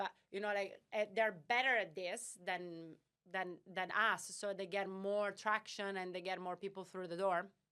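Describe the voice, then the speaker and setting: The tone is bright and sharp, with a non-native accent. Delivery is monotone and flat at a fairly slow pace. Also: woman, medium pitch for a woman. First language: not English. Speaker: startup founder and CEO. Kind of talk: podcast interview. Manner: halting, many fillers.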